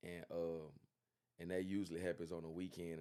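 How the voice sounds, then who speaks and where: The tone is dark and mellow, at a moderate pace. The intonation stays monotone and flat. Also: man. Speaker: fitness trainer. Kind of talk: interview. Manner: loud; halting, many fillers.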